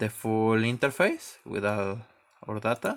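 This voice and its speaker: The recording is very clean, with a silent background. A man with a non-native accent speaks at medium pitch. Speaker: electronics maker. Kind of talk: tutorial. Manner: halting, repeats words.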